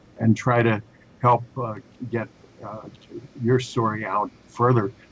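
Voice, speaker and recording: The speech moves at a fairly slow pace in a monotone, flat intonation, with big swings in loudness. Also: man, medium pitch for a man. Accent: American. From Chicago. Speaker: author. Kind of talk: interview. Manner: hesitant, many fillers.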